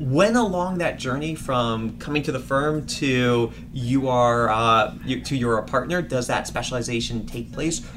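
With an American accent, a man speaks at a fairly slow pace with hardly any pauses and ordinary pitch variation, with audible room echo and noticeable background noise. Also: medium pitch for a man. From Washington, D.C. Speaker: recruiting manager. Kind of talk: casual interview.

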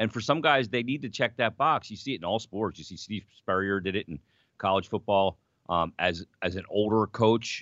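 In an American accent, a man talks at a moderate pace in a plain, everyday voice with fairly low pitch. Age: 40s. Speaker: sports radio co-host, hockey broadcaster. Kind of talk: casual sports talk show.

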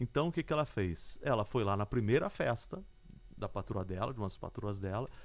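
The recording is very clean, with a silent background. A man talks at a fairly quick pace, his pitch swinging very widely. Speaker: podcast host and journalist. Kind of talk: interview.

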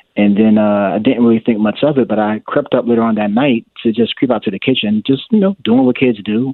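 A man talks in a normal speaking voice at a medium pitch with ordinary pitch variation. His pace is fairly quick, with hardly any pauses. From New Jersey, raised in Richmond from age ten. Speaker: chaplain resident. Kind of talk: interview. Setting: online call.

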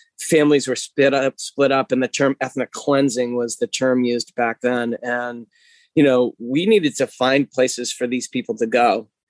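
A man talks at a moderate pace in a medium pitch with fairly even intonation. It is an ordinary speaking voice, dry and close with no echo. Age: 40s. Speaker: physical therapist and gym owner. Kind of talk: interview.

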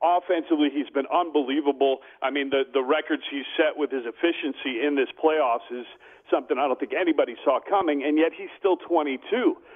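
A man with a fairly high pitch speaks in an American accent, with ordinary pitch variation. It is a plain, everyday voice. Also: fairly quick pace. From US West Coast, Bay Area. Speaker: sports radio host. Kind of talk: casual interview.

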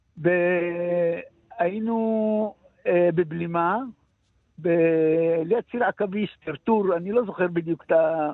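Very slow in pace, this man talks with fairly even intonation. His pitch is high. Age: 70s. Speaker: combat veteran with shell shock. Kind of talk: interview testimony. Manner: halting.

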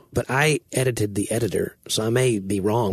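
A man speaks with a Southern US accent. His voice is fairly low and somewhat breathy. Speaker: writer and podcast co-host. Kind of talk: casual chat.

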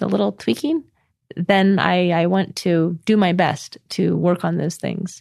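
A woman's fairly low voice in a West Coast accent at a fairly slow pace, with a dry, close sound and no echo. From California, Orange County. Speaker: scholar and author. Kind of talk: interview.

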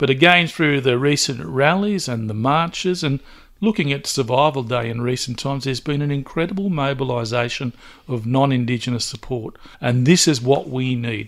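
A man with a medium-pitched voice speaks at a moderate pace with ordinary pitch variation. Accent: Australian. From Newcastle, New South Wales, Australia. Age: 60s. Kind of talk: interview.

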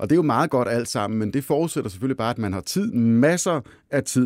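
On a very clean recording with a silent background, a man with an unremarkable speaking voice talks in a medium pitch with lively intonation. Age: 40s. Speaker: podcast host, finance editor. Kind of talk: interview chat. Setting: studio.

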